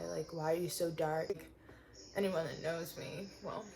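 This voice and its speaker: A soft-spoken woman with a fairly low pitch, fairly even intonation, a moderate pace and audible room echo. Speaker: van life vlogger. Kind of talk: personal vlog confession. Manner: halting.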